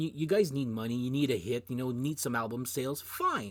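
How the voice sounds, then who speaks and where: A man with a Canadian French accent speaks at a medium pitch on a very clean recording with a silent background. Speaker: music video blogger. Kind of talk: casual monologue. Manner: hesitant, many restarts.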